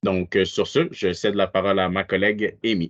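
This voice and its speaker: A man with an unremarkable speaking voice, a fairly slow pace, and fairly even intonation. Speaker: webinar presenter. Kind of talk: webinar presentation.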